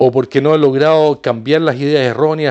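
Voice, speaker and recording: Fairly high-pitched, a man talks at a moderate pace with ordinary pitch variation. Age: 60s. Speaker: video blogger with social phobia. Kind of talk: personal opinion monologue. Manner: repetitive, halting.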